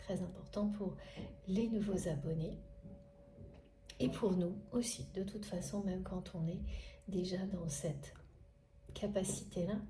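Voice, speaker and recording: With audible room echo, a woman speaks fairly slowly at a medium pitch, her intonation fairly even and her pauses long and frequent. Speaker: spiritual guidance reader. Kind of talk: spiritual guidance monologue.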